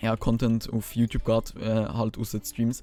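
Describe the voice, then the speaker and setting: A man's dark, mellow voice at medium pitch, with a Swiss accent and a moderate pace. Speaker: gaming YouTuber. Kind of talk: casual gaming commentary.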